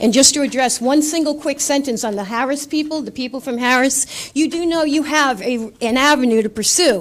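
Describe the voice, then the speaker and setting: Noticeable background noise sits behind a woman speaking at a fairly quick pace with hardly any pauses, her pitch high with ordinary variation. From Rhode Island, Coventry. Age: 60s. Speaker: resident speaking at public comment. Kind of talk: public comment at council meeting.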